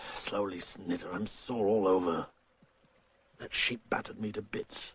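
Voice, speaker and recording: A man uses a put-on character voice that is raspy. He keeps to a moderate pace. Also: fairly low pitch for a man. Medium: short film. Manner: gruff, blunt.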